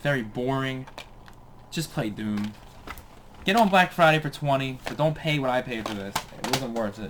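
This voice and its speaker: Lively intonation from a man at medium pitch, with long, frequent pauses and noticeable background noise. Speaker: gaming youtuber. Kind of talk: casual video game collection showcase. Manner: fast; casual, hesitant with fillers.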